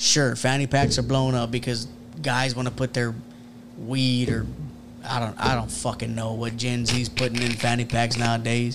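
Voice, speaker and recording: Noticeable background noise sits behind this recording. A man talks at a medium pitch with an American accent. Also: moderate pace. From Houston, Texas. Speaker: streetwear brand owner and electrician. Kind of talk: casual chat. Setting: studio. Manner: animated.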